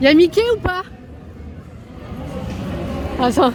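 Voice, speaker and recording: A woman talks with an extremely high pitch and lively intonation. Crowd noise fills the background. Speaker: vlogger. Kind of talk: casual vlog. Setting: outdoors at a theme park.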